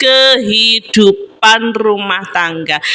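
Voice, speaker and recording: Noticeable background noise sits behind a woman's voice. Her pitch is fairly high, with lively intonation. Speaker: vlogger. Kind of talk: mukbang voice-over chat. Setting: family room at home. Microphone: no microphone, voiceover recorded separately; echoey room.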